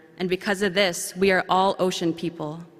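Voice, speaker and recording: Amid noticeable background noise, a woman with a medium pitch speaks at a moderate pace in a monotone, flat intonation. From central Canada, Anishinaabe First Nation community. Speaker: young professionals committee representative speaking at conference. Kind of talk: ceremonial speech. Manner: formal.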